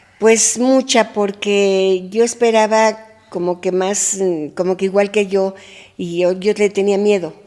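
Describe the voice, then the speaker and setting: Very slowly, a woman speaks at a medium pitch in a dark, mellow tone with fairly even intonation. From Mexico. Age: 80s+. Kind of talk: interview answer.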